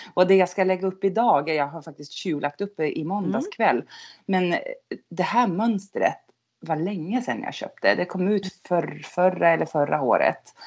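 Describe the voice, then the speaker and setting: A woman talks at a moderate pace with a medium pitch. Her pitch variation is ordinary. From northern Sweden (Norrland, near Skellefteå). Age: 50s. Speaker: knitter. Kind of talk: casual chat.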